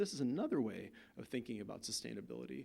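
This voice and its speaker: A man with an American accent talks at a fairly quick pace. His medium-pitched voice carries vocal fry. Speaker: visiting artist. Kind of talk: lecture. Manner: casual, halting.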